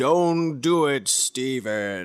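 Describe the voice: A man's loud, booming put-on character voice at a medium pitch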